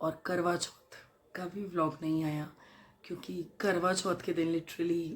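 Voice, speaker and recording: A woman's voice, fairly low in pitch. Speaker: vlogger. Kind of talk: casual vlog talk. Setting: at home. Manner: hesitant, with fillers.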